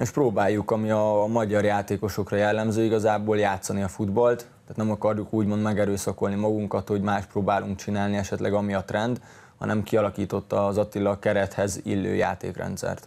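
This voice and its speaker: A man at a fairly quick pace with monotone, flat intonation. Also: fairly low pitch for a man, hardly any pauses. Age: 20s. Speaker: professional footballer; guest. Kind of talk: interview. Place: studio. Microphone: lapel.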